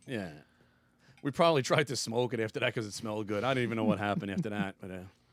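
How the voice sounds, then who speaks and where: An animated man's voice at a medium pitch, very fast, with ordinary pitch variation. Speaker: podcast guest. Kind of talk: casual chat. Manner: loud. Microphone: too close to the mic, loud.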